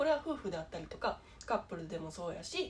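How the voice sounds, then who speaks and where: Somewhat breathy and fairly quick, a woman speaks with a Kansai accent. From Japan. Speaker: YouTuber with low vision; vlogger sharing low-vision experience. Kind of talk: casual vlog monologue; casual vlog chat. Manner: halting, many fillers. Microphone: phone near.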